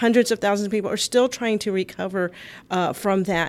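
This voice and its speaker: In an American accent, the speaker has an unremarkable speaking voice with fairly even intonation. The recording is very clean, with a silent background. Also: woman. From US South, Texas, south side of San Antonio. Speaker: environmental advocacy organizer. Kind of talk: radio talk show interview. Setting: studio.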